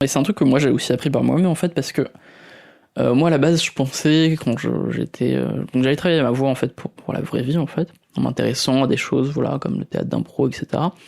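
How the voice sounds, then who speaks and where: Soft-spoken and calm, a man with a fairly high pitch talks at a fairly quick pace with fairly even intonation and vocal fry. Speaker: podcaster and youtuber. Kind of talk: tutorial. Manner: calm, soft, fluid delivery; hesitant with frequent fillers.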